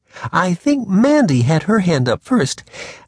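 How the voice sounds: The clip presents a natural reading voice.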